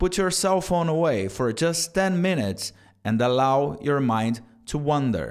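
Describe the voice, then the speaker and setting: Fairly high in pitch with lively intonation, a man with an unremarkable speaking voice talks at a fairly slow pace on a very clean recording with a silent background. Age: 30s. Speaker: self-improvement vlogger. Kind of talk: motivational talk to camera.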